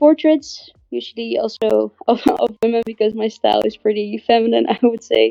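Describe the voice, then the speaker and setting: A woman speaks with a Dutch accent. Her pace is moderate. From Netherlands, Amsterdam. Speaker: artist and NFT project founder. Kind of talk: podcast interview. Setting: live online audio room. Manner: hesitant, many fillers.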